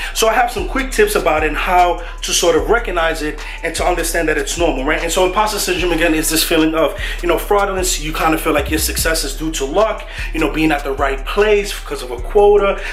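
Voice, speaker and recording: Over music in the background and audible room echo, a man with a New York accent talks at a very fast pace. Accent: New York accent, Bronx. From New York, the Bronx. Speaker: mentor to students, Stanford student. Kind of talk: motivational vlog talk. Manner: casual, conversational.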